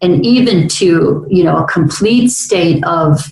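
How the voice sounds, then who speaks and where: A woman speaks at a fairly low pitch. Her pitch varies in an ordinary way. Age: 60s. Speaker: talk radio host. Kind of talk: casual interview chat. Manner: halting, many fillers.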